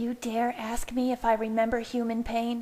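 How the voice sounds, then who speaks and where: A female-sounding voice does a put-on character voice with growling. The pitch is fairly high, the intonation monotone and flat, and the pace moderate. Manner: snarling, furious.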